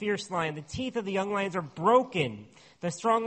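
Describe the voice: Someone is doing plain reading aloud.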